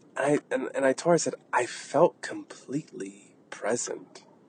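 Recorded with a dry, close sound and no echo, a man speaks at a fairly slow pace against noticeable background noise. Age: 30s. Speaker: wellness podcast host. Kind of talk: casual monologue. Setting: in a car.

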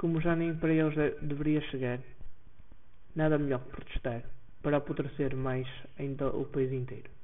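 Using long, frequent pauses, a man with a fairly high voice speaks at a moderate pace in a monotone, flat manner. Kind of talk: poem performed aloud, satirical political verse. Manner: sardonic, indignant, mocking tone.

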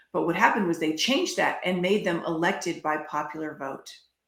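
Her pitch fairly low, a woman talks in an ordinary speaking voice. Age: 50s. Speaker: health freedom advocate. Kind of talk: interview.

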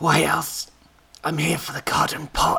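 A man puts on a croaky, raspy character voice. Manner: deliberately put-on gravelly voice.

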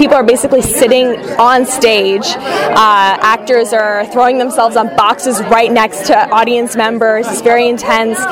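With an American accent, a woman speaks in a fairly high pitch and fairly even intonation at a moderate pace with hardly any pauses, amid crowd noise and audible room echo. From Los Angeles, US. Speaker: stage actor. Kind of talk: casual interview.

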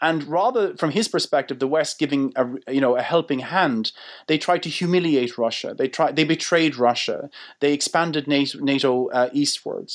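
A man with an Irish accent, fairly high pitch, ordinary pitch variation, very even loudness and moderate pace, in a very clean recording with a silent background. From Ireland. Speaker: politics professor. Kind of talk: interview. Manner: hesitant, many fillers and repetitions.

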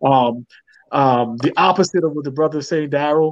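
Delivered at a moderate pace with fairly even intonation, it's a plain, everyday voice. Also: man. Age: 30s. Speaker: dating panel guest. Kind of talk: casual chat.

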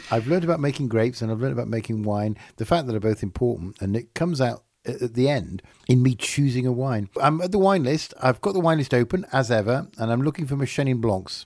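A man speaks very fast at medium pitch, in an English accent. The recording is very clean, with a silent background. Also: lively intonation. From England. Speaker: podcast host. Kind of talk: casual chat. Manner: animated.

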